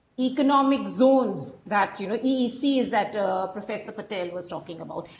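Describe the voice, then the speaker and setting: With audible room echo, a woman speaks at a fairly slow pace in a high pitch. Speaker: researcher; webinar panelist. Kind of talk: panel discussion. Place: home room. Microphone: earbuds.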